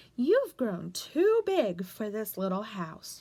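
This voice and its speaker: Putting on a character voice, a woman speaks very slowly at a fairly high pitch. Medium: read story.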